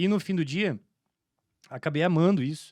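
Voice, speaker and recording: The speech moves at a moderate pace with ordinary pitch variation on a very clean recording with a silent background. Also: man. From Santa Catarina interior, southern Brazil. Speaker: entrepreneur, franchise business owner. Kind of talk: podcast interview, casual. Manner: halting, many fillers and restarts.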